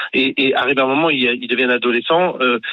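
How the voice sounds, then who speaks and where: A man's normal speaking voice at a medium pitch with fairly even intonation. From Paris region, Ivry. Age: 40s. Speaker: radio caller, father. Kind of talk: call-in debate.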